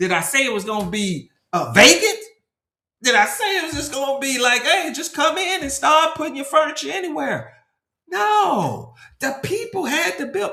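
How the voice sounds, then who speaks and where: At an extremely high pitch, a man projects a raised voice with very wide pitch swings and an animated tone. He keeps a moderate pace, and room echo is audible. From Nashville, Tennessee. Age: 50s. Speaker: branding consultant. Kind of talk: casual interview with preaching. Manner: repetitive fillers.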